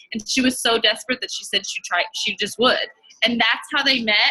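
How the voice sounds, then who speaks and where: Loud and bright with a sharp tone, a woman talks at a fairly high pitch and fairly quick pace. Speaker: network marketing ambassador. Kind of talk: motivational talk on video call. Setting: video call. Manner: casual, many fillers.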